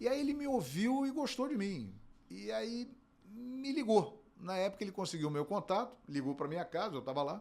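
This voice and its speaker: Here is a man with a Carioca accent and a high pitch. He talks at a moderate pace with very wide pitch swings. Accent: carioca Brazilian Portuguese. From Rio de Janeiro, Brazil. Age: 50s. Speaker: sports broadcaster and play-by-play narrator. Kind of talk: interview.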